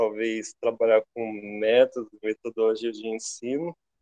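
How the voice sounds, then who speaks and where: Dark, mellow male voice at a fairly slow pace, dry and close with no echo. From interior of São Paulo state, Brazil (Jaboticabal). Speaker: university student. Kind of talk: self-introduction in online class. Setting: video call. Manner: halting.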